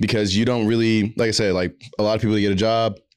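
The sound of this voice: Over a silent background in a very clean recording, a man talks at a fast pace with a clear, smooth, slightly mellow tone and little pitch movement. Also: fairly low pitch for a man.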